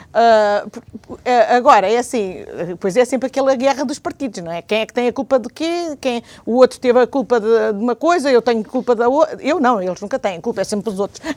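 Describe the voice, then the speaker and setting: With a European Portuguese accent, a woman speaks at a very fast pace in a high pitch, with lively intonation and big swings in loudness, in a dry, close sound with no echo. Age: 60s. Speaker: retired teacher and civic association member. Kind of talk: TV/radio talk show interview.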